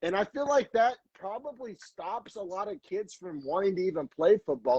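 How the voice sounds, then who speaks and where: A man's high-pitched voice with lively intonation and an American accent, in a dry, close sound with no echo. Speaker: podcast host. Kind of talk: casual chat.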